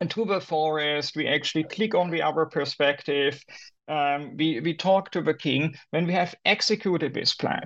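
A man speaks with a German accent and a fairly high pitch. The background is quiet. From Germany. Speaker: academic author. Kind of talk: interview. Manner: halting.

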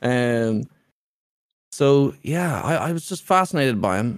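With an Irish accent, a man speaks at a fairly high pitch. His pace is fairly slow. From Ireland. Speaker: streamer. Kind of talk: casual chat.

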